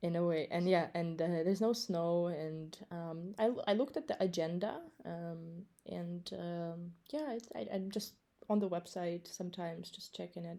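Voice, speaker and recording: A woman with an American accent, a dark, mellow tone and a fairly low pitch. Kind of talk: casual chat. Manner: halting, many fillers.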